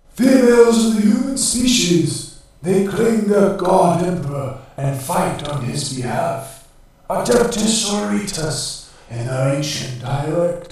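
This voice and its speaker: A put-on character voice from a man, creaky and robotic, high-pitched with very wide pitch swings, at a fairly slow pace with strong echo. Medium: read story. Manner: subservient.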